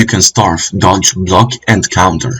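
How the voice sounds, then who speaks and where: A man talks with a non-native accent. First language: not English. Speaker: gaming youtuber. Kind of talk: video game review commentary. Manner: casual with hesitations and self-corrections.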